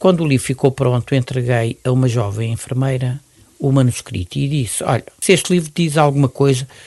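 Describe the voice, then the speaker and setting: A man speaks at a moderate pace in a medium pitch, somewhat breathy, with ordinary pitch variation. The sound is dry and close, with no echo. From Mozambique. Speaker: retired pediatrician and neonatologist. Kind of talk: interview.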